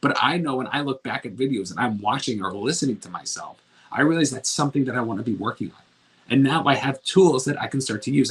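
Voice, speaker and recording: The pace is very fast, with ordinary pitch variation. Loudness swings widely. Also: man. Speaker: self-improvement coach. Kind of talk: motivational talk. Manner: mumbling; slurs word endings.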